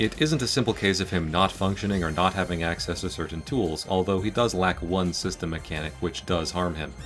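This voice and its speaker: A very deep, low male voice with ordinary pitch variation and hardly any pauses, music playing in the background. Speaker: fighting game video essayist. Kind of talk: video essay narration.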